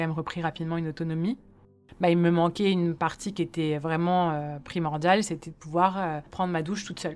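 Fairly even intonation and a fairly quick pace from a woman with a fairly low pitch. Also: very clean recording, silent background. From Paris, France. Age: 30s. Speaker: quadruple amputee and hand transplant recipient. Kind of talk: personal testimony. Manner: hesitant, frequent fillers and repetitions.

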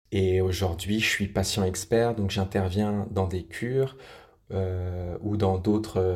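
A man's very deep, low voice, somewhat breathy, with fairly even intonation at a very slow pace, on a very clean recording with a silent background. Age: 30s. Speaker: patient expert, recovering alcoholic. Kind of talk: interview testimony. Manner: halting, frequent repetitions.

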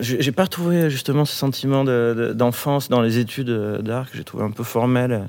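A man with an unremarkable speaking voice, a fairly slow pace, and ordinary pitch variation. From rural France near Bordeaux. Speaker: rock musician. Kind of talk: casual chat. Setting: on stage of an opera house. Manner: casual.

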